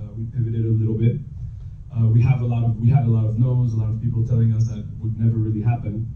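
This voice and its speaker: Noticeable background noise and audible room echo around a man at a medium pitch. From US, New York City. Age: 20s. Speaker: startup founder. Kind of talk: panel talk at live event.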